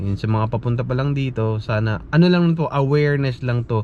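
A man with a medium pitch is heard, and noticeable background noise runs behind him. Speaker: nurse vlogger. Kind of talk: casual vlog monologue.

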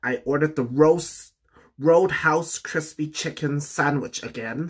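With a bright, sharp tone, a man speaks at a very slow pace. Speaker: mukbang vlogger. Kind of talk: casual vlog chat. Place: home room. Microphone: phone near.

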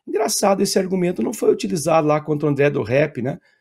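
Against a quiet background, a man speaks fairly quickly. His pitch varies in an ordinary way. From Brazil. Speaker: professor, political commentator. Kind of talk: political commentary interview. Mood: critical, argumentative. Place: home room.

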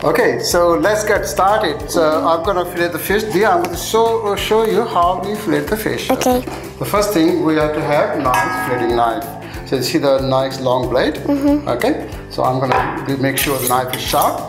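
A man with a high pitch at a moderate pace, clear music in the background. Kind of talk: cooking tutorial. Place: kitchen.

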